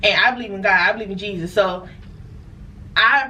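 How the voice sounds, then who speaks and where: Animated in tone, a woman speaks with ordinary pitch variation amid audible room echo. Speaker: merchant seaman vlogger. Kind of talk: storytime monologue. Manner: casual, animated.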